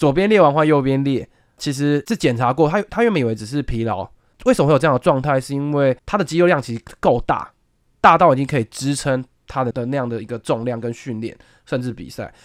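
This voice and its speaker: This man's voice sits fairly high. He speaks very fast, with lively intonation. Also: dry, close sound with no echo. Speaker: senior sports reporter. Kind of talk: casual chat.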